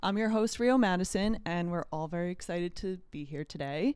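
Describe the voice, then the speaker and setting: Here is a woman with a plain, everyday voice at medium pitch, moving at a fairly quick pace. Her pitch varies in an ordinary way, and the recording is very clean with a silent background. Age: 20s. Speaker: podcast host, holistic health coach. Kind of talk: casual chat.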